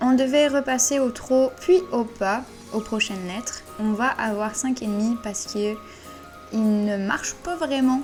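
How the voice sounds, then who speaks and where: Music plays in the background as a woman speaks at a fairly slow pace. Her fairly high voice shows ordinary pitch variation. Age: 20s. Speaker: dressage rider. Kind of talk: voice-over commentary on a competition video. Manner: casual, conversational.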